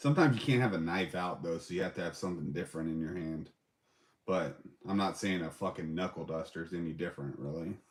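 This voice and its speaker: This man has a very deep, low pitch and an American accent. His tone is relaxed, with ordinary pitch variation. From England. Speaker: live streamer reviewing bags and knives. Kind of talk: casual livestream chat reading viewer comments. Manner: relaxed, casual, with filler words.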